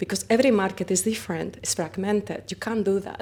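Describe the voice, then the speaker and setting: A woman speaks in a Spanish accent at a medium pitch. Her pace is moderate. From Spain. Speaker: company founder. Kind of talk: interview. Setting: conference.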